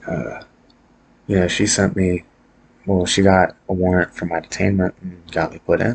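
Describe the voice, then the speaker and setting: A quiet man with a very deep, low pitch and a fairly slow pace. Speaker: vlogger sharing personal mental health story. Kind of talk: personal monologue vlog. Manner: quiet, subdued; hesitant, many fillers.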